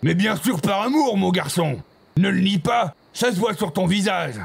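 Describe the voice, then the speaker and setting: Using a put-on character voice, a man speaks at a high pitch and a moderate pace. His intonation is lively, and his loudness stays very even. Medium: machinima. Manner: melodramatic.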